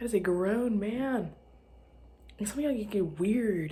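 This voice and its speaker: A woman speaks at a moderate pace. Her medium-pitched voice has lively intonation. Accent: American. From US South, Arkansas. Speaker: podcast host. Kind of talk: casual monologue. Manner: rambling, halting.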